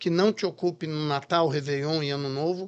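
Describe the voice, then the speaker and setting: Over a quiet background, a man with a plain, everyday voice talks at a fairly quick pace, his fairly high pitch showing ordinary variation. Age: 60s. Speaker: chef and restaurant franchise founder. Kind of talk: podcast interview.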